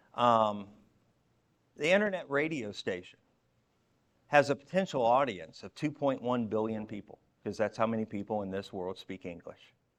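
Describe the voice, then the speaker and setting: Speaking at a moderate pace, a man uses lively intonation, with big swings in loudness and long, frequent pauses. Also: medium pitch for a man. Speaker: church outreach director. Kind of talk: conference talk. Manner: halting, many fillers.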